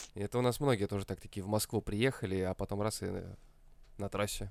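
Here a man with a fairly low pitch speaks at a fairly quick pace. His intonation is fairly even, and the recording is very clean with a silent background. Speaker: co-host. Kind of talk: casual comedic banter.

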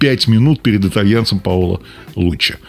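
Here is a man with a plain, everyday voice. He talks at a fairly quick pace with ordinary pitch variation. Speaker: radio host. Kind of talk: race report, scripted-sounding radio narration of stage results.

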